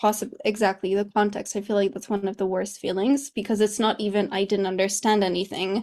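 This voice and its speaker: A woman with a Polish accent speaks at a fairly quick pace in a monotone, flat intonation, with hardly any pauses. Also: medium pitch for a woman. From Poland. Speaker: English teacher and coach. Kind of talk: interview.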